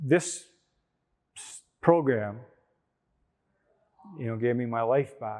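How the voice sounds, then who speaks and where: Speaking with a Canadian accent, a man talks at a very slow pace with long, frequent pauses, big swings in loudness, a medium pitch and ordinary pitch variation. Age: 60s. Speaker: recovering addict sharing his story. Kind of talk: interview testimony. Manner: hesitant, with fillers and restarts.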